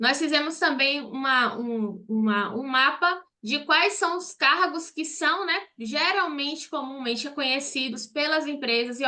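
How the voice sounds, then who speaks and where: In a raised, projected voice, a woman talks at a fairly slow pace, her high pitch bright and sharp in tone with ordinary pitch variation. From Brazil, Salvador, Bahia. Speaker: accountant and online course teacher. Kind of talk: online live class. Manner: direct, conversational.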